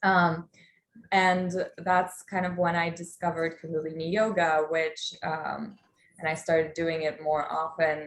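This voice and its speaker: Fairly slow, monotone delivery with flat intonation and a Polish accent. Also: woman, fairly low pitch for a woman. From Poland. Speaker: life coach. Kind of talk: online workshop talk. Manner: casual with many fillers.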